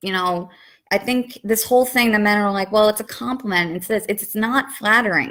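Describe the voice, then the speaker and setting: A woman with a New York accent speaks at medium pitch with ordinary pitch variation. The recording is very clean, the background silent. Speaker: vlogger. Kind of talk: testimony.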